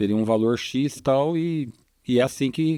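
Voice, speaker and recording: In a very clean recording with a silent background and a dry, close sound with no echo, a man speaks at a medium pitch with ordinary pitch variation and a dark, mellow tone. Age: 60s. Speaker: physician, obstetric surgeon. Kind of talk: podcast interview.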